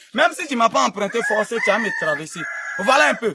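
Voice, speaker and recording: A man's high-pitched voice with an Ivorian accent, dry and close with no echo. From Côte d'Ivoire. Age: young. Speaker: herbal remedy seller, former street vendor. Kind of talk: casual talk to camera, building site tour.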